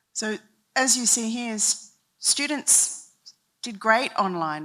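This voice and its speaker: In an Australian accent, a woman speaks with lively intonation and a bright, sharp tone. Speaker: university leader speaking at a summit. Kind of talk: conference talk. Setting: stage with audience, handheld mic. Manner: slow, deliberate.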